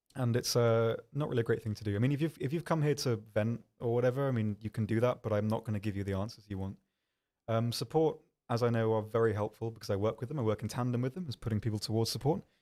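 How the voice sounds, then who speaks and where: A man talking at a very fast pace, medium in pitch and dark, mellow in tone, with ordinary pitch variation, on a very clean recording with a silent background. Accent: British. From UK. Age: 20s. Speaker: game community manager and streamer. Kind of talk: casual livestream chat answering viewers. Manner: fast, stumbling over words; hesitant, many ums.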